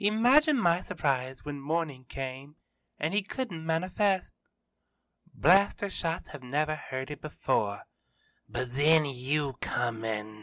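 A put-on character voice, growling with lively intonation, at a fairly slow pace on a very clean recording with a silent background. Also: man, fairly high pitch for a man. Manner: menacing, snarling, mocking.

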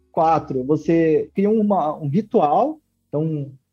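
A man is speaking, and the background is quiet. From Brazil, western Paraná. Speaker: tech entrepreneur. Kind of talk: interview. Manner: hesitant, many fillers.

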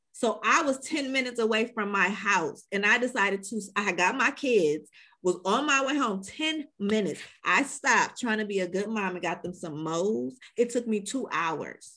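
An unremarkable speaking voice belongs to a woman with an American accent, fairly high pitch, lively intonation and a moderate pace, in a very clean recording with a silent background. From Chicago. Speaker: podcast host. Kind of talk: interview.

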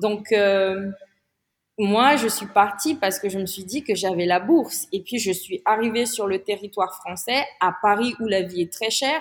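The pace runs fairly slow in a normal speaking voice, and the pitch varies in an ordinary way. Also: woman, medium pitch for a woman. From Madagascar. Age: 30s. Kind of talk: interview.

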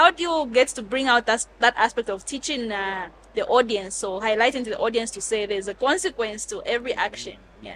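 A woman talks at a fairly quick pace in an ordinary speaking voice, her fairly high pitch carrying lively intonation, with hardly any pauses and big swings in loudness. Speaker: podcast host. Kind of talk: casual interview.

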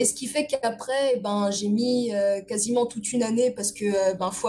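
A woman speaks at a moderate pace in a somewhat breathy, fairly high voice with fairly even intonation. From Paris region (Essonne). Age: 20s. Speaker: illustrator. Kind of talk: casual interview.

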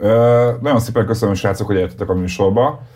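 Somewhat breathy male voice, medium pitch, dark, mellow tone. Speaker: podcast host. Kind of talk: casual interview.

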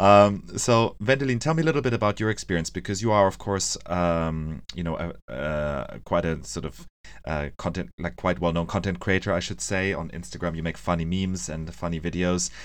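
A man speaks with a very deep, low pitch and lively intonation. His pace is moderate, against a quiet background. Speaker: podcast host and coffee business founder. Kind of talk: podcast interview.

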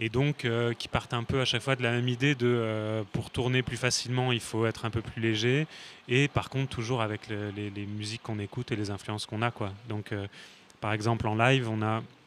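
The speech comes at a fairly quick pace in a monotone with flat intonation. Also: man, medium pitch for a man. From Paris region, France. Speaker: singer and songwriter. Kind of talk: casual interview. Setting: café.

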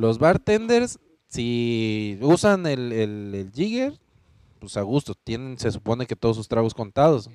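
Speaking at a fairly slow pace in an unremarkable speaking voice, a man of medium pitch uses ordinary pitch variation and big swings in loudness, recorded with a dry, close sound and no echo. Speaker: nightlife podcast host, former DJ. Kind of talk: casual chat.

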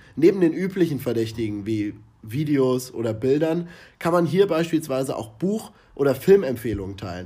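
Very wide pitch swings mark a man's medium-pitched voice as he talks at a moderate pace. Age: 20s. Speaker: marketing podcast co-host, student. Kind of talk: scripted podcast discussion.

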